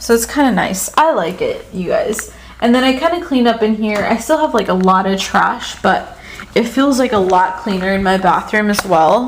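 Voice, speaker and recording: Amid noticeable background noise and audible room echo, a woman with a fairly high pitch speaks with lively intonation. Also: moderate pace. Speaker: vlogger. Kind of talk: casual vlog talk. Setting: at home. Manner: soft-spoken; hesitant, filler-heavy.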